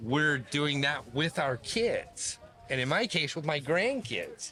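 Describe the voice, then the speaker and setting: With an American accent, a man speaks at a very slow pace with lively intonation over noticeable background noise. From US West Coast, Bay Area. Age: 60s. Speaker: retired pro BMX rider. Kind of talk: casual interview chat.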